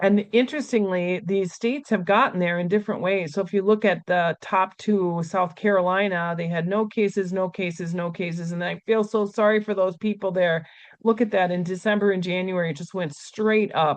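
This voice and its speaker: A woman at a medium pitch talks at a fairly quick pace with hardly any pauses. Her intonation stays fairly even. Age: 60s. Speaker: nurse and infection control expert. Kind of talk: webinar presentation. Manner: hesitant, many fillers.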